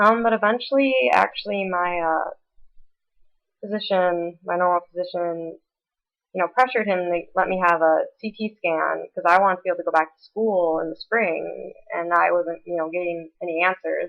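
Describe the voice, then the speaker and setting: A woman speaks at a moderate pace in a fairly low pitch. Her pitch variation is ordinary. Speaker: Cushing's syndrome patient. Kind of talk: casual vlog talk to camera. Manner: hesitant, many fillers.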